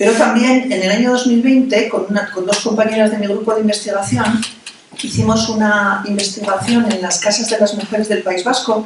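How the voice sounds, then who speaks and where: In a room with audible echo and noticeable background noise, a woman speaks at a moderate pace in a fairly high pitch with fairly even intonation. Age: 60s. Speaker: anthropologist and poet. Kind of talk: lecture.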